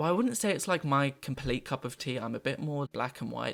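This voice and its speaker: Fairly quick speech on a very clean recording with a silent background. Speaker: Sims builder YouTuber. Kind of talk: gameplay voiceover narration.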